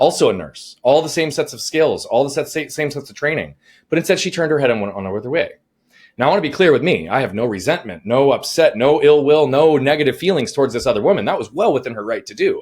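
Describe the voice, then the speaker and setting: Energetic and at a very fast pace, a man with a fairly high pitch, vocal fry and lively intonation speaks in a very clean recording with a silent background. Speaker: life coach. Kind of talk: interview storytelling.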